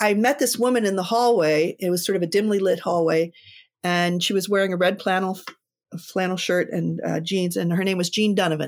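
In a normal speaking voice, a woman with an American accent talks at a fairly quick pace and medium pitch, with ordinary pitch variation and very even loudness, on a very clean recording with a silent background. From Pittsburgh, Pennsylvania, US. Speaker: co-founder of a women's preaching ministry. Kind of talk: casual interview.

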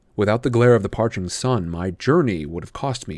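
A man with an ordinary speaking voice talks at a fairly quick pace. His intonation is lively, on a very clean recording with a silent background. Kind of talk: horror audiobook reading.

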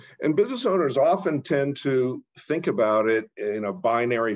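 With an American accent, a man with an unremarkable speaking voice talks at a fairly slow pace using lively intonation. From Portland, Oregon. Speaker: investment banker. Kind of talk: interview.

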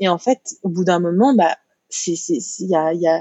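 A woman's voice with ordinary pitch variation. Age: 30s. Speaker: hypnotherapist. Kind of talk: interview conversation. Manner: hesitant, many fillers and repeated words.

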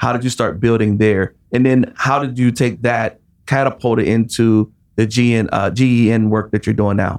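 A man in a normal speaking voice talks at a moderate pace and a medium pitch. His intonation is fairly even and his loudness very even. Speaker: podcast host. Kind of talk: casual interview.

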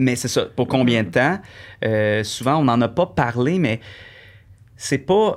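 A man speaks very slowly at a medium pitch with lively intonation and long, frequent pauses. The recording is very clean, with a silent background. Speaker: singer and Twitch streamer. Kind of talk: casual interview chat.

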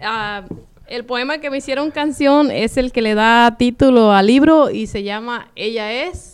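A woman speaks at a high pitch and a fairly slow pace, with ordinary pitch variation. The recording is very clean, with a silent background. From Michoacán, Mexico. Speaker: poet. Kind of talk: interview.

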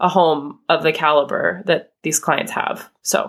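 In an ordinary speaking voice, a woman with an American accent talks at a fairly low pitch, with ordinary pitch variation. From US, northern Idaho. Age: 30s. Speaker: small business owner. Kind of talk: interview conversation.

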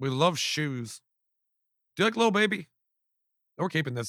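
With an American accent, a man speaks in a fairly high, bright, sharp, animated tone with lively intonation and a dry, close sound with no echo. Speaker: podcast host. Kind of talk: casual chat.

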